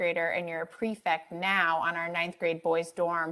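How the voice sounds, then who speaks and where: Against a quiet background, a woman speaks at a moderate pace with a fairly low pitch. Her tone is bright and sharp. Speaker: dean of students. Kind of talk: panel moderation. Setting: video call. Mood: warm, encouraging. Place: home room. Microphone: earbuds.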